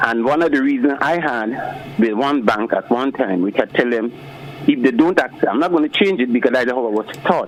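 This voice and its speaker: Against noticeable background noise, a man speaks at a fairly quick pace with a medium pitch and ordinary pitch variation. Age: 60s. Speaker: caller. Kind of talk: call-in opinion. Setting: phone call.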